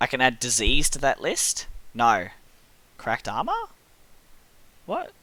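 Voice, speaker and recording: Taking long, frequent pauses, a man with an Australian accent speaks at a fairly slow pace. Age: 30s. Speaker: gaming streamer. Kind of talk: casual chat while gaming.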